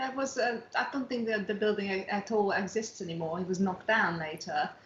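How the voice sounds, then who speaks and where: Through noticeable background noise, a woman with a non-native accent speaks fairly quickly at a medium pitch. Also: ordinary pitch variation. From outside England. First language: not English. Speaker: dance teacher. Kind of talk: casual interview chat.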